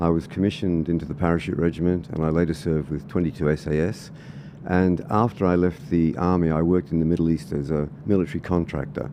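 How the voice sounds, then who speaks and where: A very deep, low-pitched man's voice in an Australian accent, at a very fast pace. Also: fairly even intonation. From Australia (Sydney and country Victoria). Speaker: political candidate and former soldier. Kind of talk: podcast interview.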